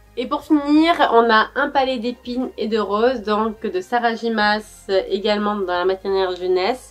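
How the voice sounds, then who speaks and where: A woman's voice with ordinary pitch variation, music playing in the background. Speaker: book vlogger. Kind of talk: casual vlog chat. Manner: hesitant, many fillers.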